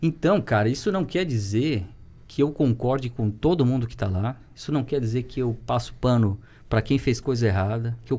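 Somewhat breathy and dark, mellow in tone, a man's voice moves at a moderate pace with ordinary pitch variation. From Santa Catarina, Brazil (Rio do Sul); Santa Catarina, Brazil. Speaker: teacher and municipal education secretary; podcast guest, teacher. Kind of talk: casual chat. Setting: studio. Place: studio.

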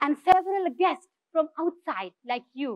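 With a Nepali accent, the voice moves at a fairly slow pace, with a dry sound with no echo and a quiet background. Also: woman. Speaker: social entrepreneur; speaker. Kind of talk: inspirational talk. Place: stage.

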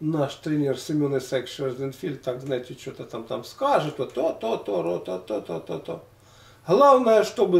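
A man with a fairly high, somewhat breathy voice speaks at a moderate pace with very wide pitch swings. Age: 60s. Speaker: former weightlifter and health vlogger. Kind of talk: casual monologue of reminiscences. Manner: halting, with many fillers.

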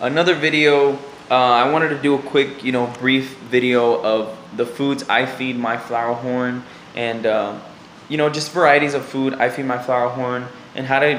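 A man talks at a moderate pace with monotone, flat intonation. Audible room echo and light background noise are present. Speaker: fish hobbyist vlogger. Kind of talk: casual vlog chat. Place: home room. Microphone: phone near.

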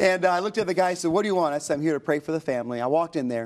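A man's fairly high-pitched voice with ordinary pitch variation, set against a quiet background. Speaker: pastor and author. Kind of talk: interview testimony. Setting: TV studio. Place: studio. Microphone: lapel.

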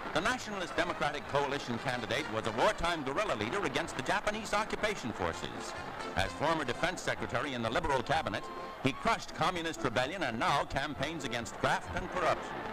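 Very fast speech over clear background music. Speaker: newsreel narrator. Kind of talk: newsreel narration. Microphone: old recording.

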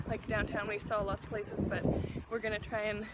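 Speech at a moderate pace comes through loud background noise in a dry sound with no echo. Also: woman. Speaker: travel vlogger. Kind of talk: casual vlog chat. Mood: cheerful, relaxed. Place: waterside. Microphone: phone near.

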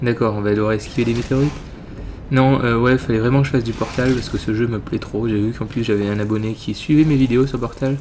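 With noticeable background noise behind him, a man of medium pitch talks at a very fast pace. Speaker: gaming youtuber. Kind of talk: let's play commentary. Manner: casual, swears often.

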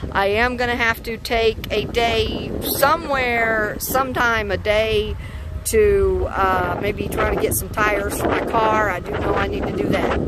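The sound is dry, with no echo, and the pace is fairly slow. Loud background noise runs underneath. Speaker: car-living road-trip vlogger. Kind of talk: casual vlog chat. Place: open country. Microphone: phone near.

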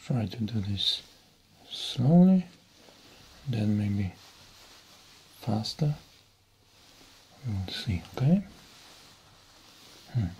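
Very wide pitch swings mark the speech of a man who talks at a very slow pace with long, frequent pauses. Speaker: ASMR creator. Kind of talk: ASMR relaxation session. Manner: soft-spoken, whispered, calming. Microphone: studio mic.

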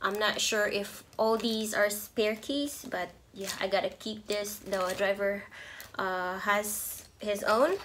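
A woman speaks at a slow pace and a medium pitch, with a fairly bright tone. Room echo is audible. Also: fairly even intonation, few pauses.

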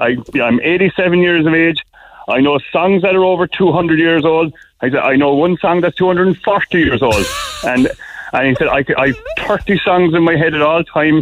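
Amid noticeable background noise, a man with a Cork accent and a high pitch talks at a fairly slow pace with very even loudness. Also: ordinary pitch variation. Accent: Cork Irish. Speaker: small business owner calling a radio show. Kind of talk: casual chat. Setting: phone call.

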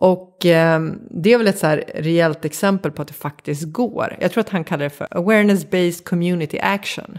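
A woman talks in an ordinary speaking voice, fairly low in pitch with ordinary pitch variation. Her pace is moderate, with hardly any pauses. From Sweden, Vattholma (Uppsala area). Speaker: creative director and organisational consultant. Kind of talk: interview conversation. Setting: home kitchen studio.

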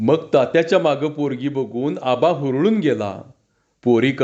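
Plain reading aloud with ordinary pitch variation against a quiet background

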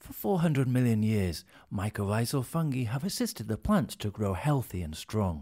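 A man with a British accent speaks in a dark, mellow tone with lively intonation. His pace is moderate, against a quiet background. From England. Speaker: voice actor. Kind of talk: corporate narration. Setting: studio. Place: studio. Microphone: studio mic.

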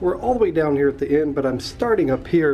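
The speech moves at a fairly quick pace while faint music plays in the background. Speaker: cruise vlogger. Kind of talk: walking tour commentary. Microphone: phone near.

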